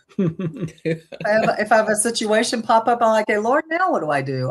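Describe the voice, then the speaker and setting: A woman with an American accent, fairly high pitch and a fairly quick pace, over noticeable background noise. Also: hardly any pauses. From US South, Jackson, Mississippi. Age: 70s. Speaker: ministry guest sharing life story. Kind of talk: testimony.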